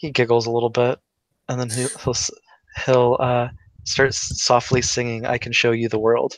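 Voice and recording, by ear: The background stays quiet. A natural voice reads the text aloud.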